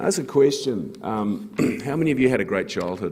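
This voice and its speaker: A man speaks with a New Zealand accent. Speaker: fund manager. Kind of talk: conference talk.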